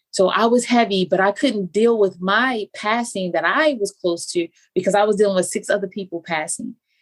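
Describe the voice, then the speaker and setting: A woman talks at a fairly quick pace with ordinary pitch variation. Hers is a normal speaking voice at a medium pitch. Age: 40s. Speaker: life coach. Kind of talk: casual chat.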